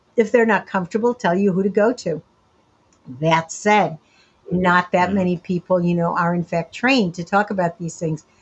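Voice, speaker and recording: The speaker's somewhat breathy voice keeps a moderate pace and ordinary pitch variation. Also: woman, medium pitch for a woman. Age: 70s. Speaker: sexologist and sociologist. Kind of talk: interview. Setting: remote call from home.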